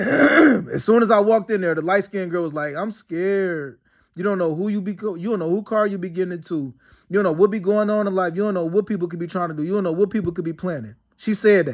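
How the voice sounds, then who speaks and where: This very clean recording has a silent background and a man with a high pitch. His tone is animated, with ordinary pitch variation and a very fast pace. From Detroit, US Midwest. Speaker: vlogger. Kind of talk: personal storytelling monologue.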